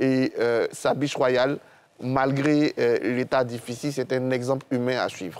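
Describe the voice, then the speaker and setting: Fairly even intonation from a man, at a fairly slow pace. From Côte d'Ivoire. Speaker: historian and political analyst; political analyst. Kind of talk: TV panel discussion. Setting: TV studio. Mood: somber, reflective. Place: studio. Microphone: lapel.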